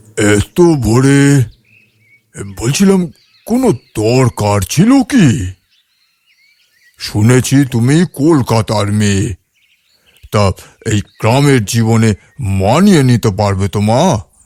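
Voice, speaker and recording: A man uses a put-on character voice at a medium pitch with lively intonation and a very slow pace. The sound is dry and close, with no echo. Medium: audio drama. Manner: soft, fatherly, hesitant with filler sounds.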